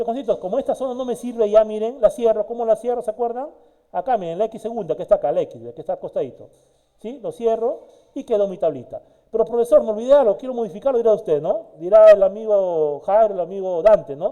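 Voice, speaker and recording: A man speaks very fast in a dark, mellow tone, his voice high for a man, with big swings in loudness and ordinary pitch variation. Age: 60s. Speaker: university lecturer. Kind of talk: online lecture. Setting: video call. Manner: animated.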